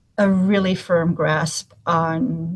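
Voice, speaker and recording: A woman speaks in a somewhat breathy voice. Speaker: humanitarian gender specialist. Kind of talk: webinar presentation. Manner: frequent fillers (um, uh).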